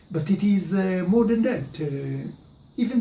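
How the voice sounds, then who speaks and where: Against music in the background and audible room echo, a man with an Israeli accent speaks at a fairly slow pace. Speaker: history presenter. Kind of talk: lecture. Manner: halting, many filler sounds.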